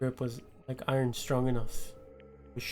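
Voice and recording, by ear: The clip is read aloud in a natural voice.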